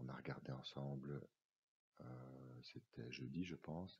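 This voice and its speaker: Very slowly, a man speaks at a very deep, low pitch with vocal fry and fairly even intonation. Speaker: teacher trainer. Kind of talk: tutorial. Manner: hesitant, many fillers.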